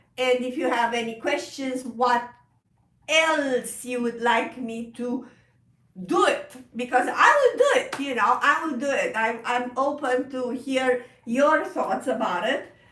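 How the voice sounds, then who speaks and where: A woman with a Romanian accent speaks at a high pitch and a fairly slow pace, her intonation fairly even. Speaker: piano teacher. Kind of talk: live stream chat. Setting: live stream. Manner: halting.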